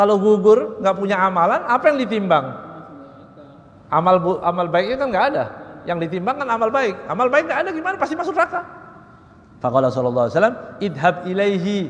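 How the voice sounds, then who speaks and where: Loud and high-pitched, a man talks at a very fast pace with very wide pitch swings and long, frequent pauses, over noticeable background noise. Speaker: Islamic preacher. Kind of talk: religious lecture on Quran exegesis.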